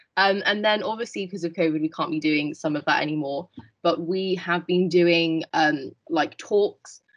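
Here is a woman with a British accent and a fairly low pitch. She speaks at a moderate pace. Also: quiet background. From England. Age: 20s. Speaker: veterinary student; panelist. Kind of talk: panel discussion. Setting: video call. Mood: calm, thoughtful. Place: home room. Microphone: video call.

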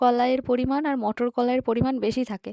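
In a very clean recording with a silent background, a woman speaks at a high pitch with a dark, mellow tone. Her intonation is monotone and flat, and the sound is dry and close with no echo. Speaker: vlogger. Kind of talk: casual vlog narration. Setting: at home in a village.

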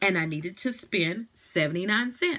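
At a moderate pace, a woman speaks with a fairly low pitch and a fairly bright tone.

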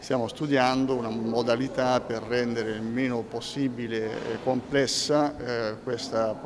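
A man talks at a medium speed while clear background noise carries on. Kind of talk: interview answer. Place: hall.

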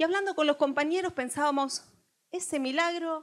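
The speaker is a woman talking fairly slowly. Behind her the background stays quiet. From Buenos Aires, Argentina; Argentina. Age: 40s. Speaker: political activist and bookseller; bookseller. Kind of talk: political speech. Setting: stage with audience. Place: hall.

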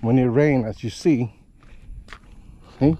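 At a moderate pace, a man speaks in a dry sound with no echo. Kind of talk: casual vlog chat. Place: open country. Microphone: phone near.

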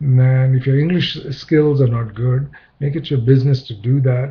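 A man with a slightly husky edge talks at a medium pitch and moderate pace, his intonation fairly even.

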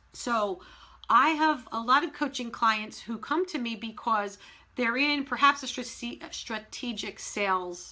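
A woman speaks in a fairly high, bright and sharp voice with an energetic tone. Her pitch swings very widely while her pace stays fairly slow. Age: 50s. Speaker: business coach. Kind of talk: live-streamed webinar. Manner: direct. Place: office. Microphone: webcam.

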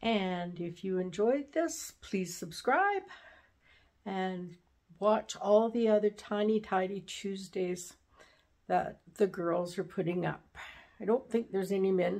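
Against a quiet background, a woman speaks at a very slow pace. Her voice is medium in pitch with ordinary pitch variation. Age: 70s. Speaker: craft and home video creator; home video creator. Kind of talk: casual tutorial vlog. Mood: pleased, warm. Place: home room. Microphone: phone near.

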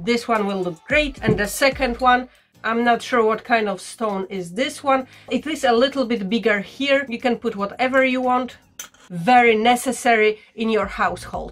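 A woman talks at a moderate pace. Her pitch variation is ordinary. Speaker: vintage reseller. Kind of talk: casual haul vlog chat. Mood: playful, humorous. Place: home room.

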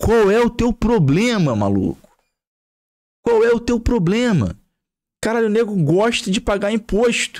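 Against a quiet background, a man with a Brazilian accent and a high pitch speaks at a fairly slow pace with long, frequent pauses, very even loudness and ordinary pitch variation. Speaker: gaming YouTuber. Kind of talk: angry rant, sweary political tirade about prices and taxes. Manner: heated, sarcastic, swearing, exasperated, repeating himself. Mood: exasperated, irreverent. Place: home room. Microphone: studio mic.

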